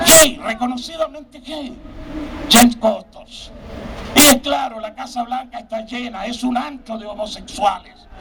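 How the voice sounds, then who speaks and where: A man with an extremely high pitch and ordinary pitch variation, at a fairly slow pace, with big swings in loudness and noticeable background noise. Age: 60s. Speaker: evangelical preacher. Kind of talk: sermon. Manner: animated.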